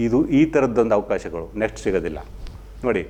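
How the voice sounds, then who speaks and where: A man's medium-pitched voice with vocal fry. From Mandya, Karnataka. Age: 50s. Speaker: local TV news presenter. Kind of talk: opinion commentary. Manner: animated.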